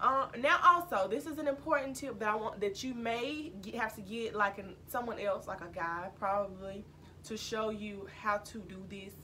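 A woman's fairly high, bright and sharp voice in a Mississippi accent, with big swings in loudness over light background noise. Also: lively intonation, moderate pace. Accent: Southern US (Mississippi). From US South, Mississippi. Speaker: YouTuber. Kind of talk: casual vlog talk. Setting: at home, recording alone. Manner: casual, filler-heavy. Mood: earnest, serious advice. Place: home room. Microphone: camera far.

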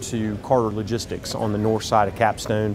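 Noticeable background noise sits behind a man who talks at a moderate pace. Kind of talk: interview answer. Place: hall. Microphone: lapel.

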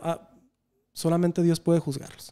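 A man's high-pitched, dark, mellow voice at a fairly quick pace. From Mexico. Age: 30s. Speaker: podcast host. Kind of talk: casual chat. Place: studio. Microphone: studio mic.

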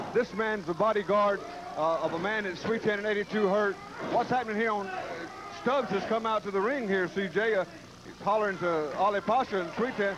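A man with a high voice keeps a moderate pace and ordinary pitch variation while noticeable noise sounds in the background. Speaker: wrestling color commentator. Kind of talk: wrestling commentary. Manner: enthusiastic, hyped.

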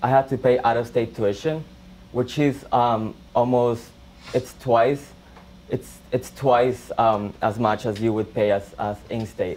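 In a Spanish accent, a man speaks at a very slow pace with fairly even intonation. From El Salvador. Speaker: college student. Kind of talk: personal testimony. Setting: classroom with audience. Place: classroom. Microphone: camera far.

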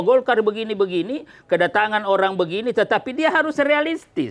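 Very fast delivery with lively intonation. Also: man. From South Sulawesi, Indonesia. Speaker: politician. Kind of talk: talk show interview. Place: office. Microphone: lapel.

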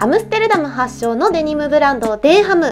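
A woman speaks with a high pitch and very wide pitch swings. Clear music plays in the background. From Kochi Prefecture, Japan. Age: 20s. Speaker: actress and TV personality. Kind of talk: vlog narration to camera. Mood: cheerful, friendly.

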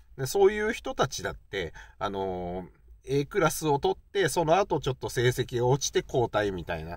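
Very wide pitch swings at a fairly slow pace, relaxed in tone, with a dry sound with no echo and a quiet background. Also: man. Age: 40s. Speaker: YouTuber, baseball fan commentator; baseball fan vlogger. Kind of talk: casual solo talk; casual vlog commentary. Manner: relaxed, many fillers. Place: car.

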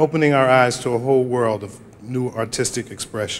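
The intonation stays fairly level. A man speaks at a fairly quick pace. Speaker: television producer and director accepting an award. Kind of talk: award acceptance speech. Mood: grateful, formal. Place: hall. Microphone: podium.

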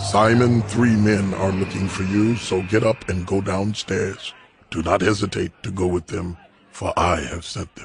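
A man's put-on character voice, fairly low and calm, at a moderate pace. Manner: calm, commanding.

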